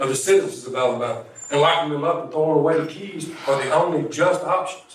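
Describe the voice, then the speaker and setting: Noticeable background noise behind fairly quick talk with ordinary pitch variation. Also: man. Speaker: incarcerated poet. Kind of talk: slam poetry performance.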